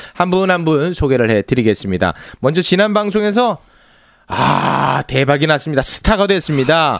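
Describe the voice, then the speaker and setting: The pitch makes very wide swings in an animated tone. Loudness stays very even throughout. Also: man, fairly high pitch for a man, moderate pace. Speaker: podcast host. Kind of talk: casual comedic banter. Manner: animated, teasing.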